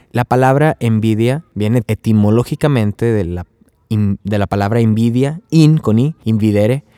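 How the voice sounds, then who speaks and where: This man has an unremarkable speaking voice at medium pitch, ordinary pitch variation and a fairly slow pace, captured with a dry, close sound and no echo. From Mexico, Tamaulipas (Río Bravo). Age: 20s. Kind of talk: religious teaching podcast. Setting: recorded outdoors at a campsite. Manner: casual, conversational.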